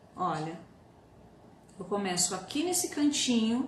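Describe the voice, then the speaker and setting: A soft-spoken voice comes through with audible room echo and noticeable background noise. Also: woman. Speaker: doll-making teacher. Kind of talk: live online tutorial. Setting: Instagram live stream.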